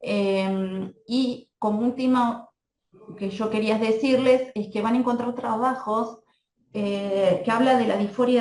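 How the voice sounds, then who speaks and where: A woman speaks at a very slow pace with a fairly high pitch. Her pitch variation is ordinary. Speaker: pediatrician. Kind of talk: lecture.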